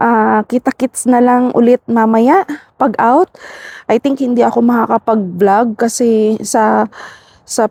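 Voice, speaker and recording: Speaking at a very slow pace, a woman has a fairly high pitch, a dark, mellow tone and very even loudness, recorded dry and close with no echo. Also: ordinary pitch variation. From Philippines. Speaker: vlogger, overseas worker. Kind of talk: casual vlog talk. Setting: outdoors, walking. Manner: soft-spoken.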